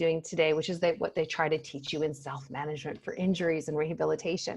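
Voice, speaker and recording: A woman speaks with a North American accent. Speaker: pain psychologist. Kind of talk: casual interview chat. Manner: animated.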